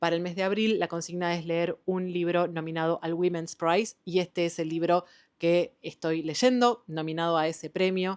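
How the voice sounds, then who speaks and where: A woman with an Argentine accent talks at a moderate pace, fairly low in pitch and fairly even in intonation, with hardly any pauses. The background is quiet and the sound dry and close, without echo. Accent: Argentine Spanish (Rioplatense). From Argentina. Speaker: book youtuber. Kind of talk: casual book review vlog. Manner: casual, with fillers and hesitations.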